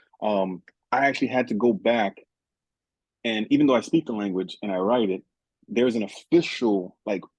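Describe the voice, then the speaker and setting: Delivered at a moderate pace in a Haitian accent, the speech has ordinary pitch variation and long, frequent pauses, in a dry, close sound with no echo. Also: man, medium pitch for a man. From Haiti, raised in South Florida. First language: Haitian Creole. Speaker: author and teacher. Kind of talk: interview. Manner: halting.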